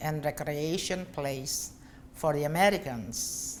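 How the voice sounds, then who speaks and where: A Filipino accent at a fairly slow pace, with audible room echo. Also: woman. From Philippines, Pampanga. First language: Kapampangan. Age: 60s. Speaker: bar and hotel owner. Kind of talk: interview.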